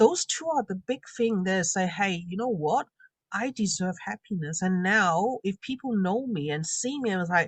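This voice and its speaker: Her voice has a somewhat breathy quality. The woman's intonation is lively. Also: medium pitch for a woman, moderate pace, dry, close sound with no echo. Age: 40s. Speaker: confidence coach and makeup artist. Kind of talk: interview testimony.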